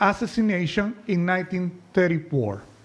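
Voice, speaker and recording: A man with a Spanish accent, high pitch, ordinary pitch variation and a moderate pace. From Nicaragua. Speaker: political cartoonist. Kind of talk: presentation to an audience. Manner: reading from notes.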